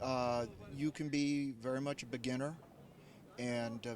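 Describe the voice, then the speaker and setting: Medium-pitched male speech with an American accent and monotone, flat intonation. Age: 60s. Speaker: masters kayak athlete. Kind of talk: interview. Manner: halting.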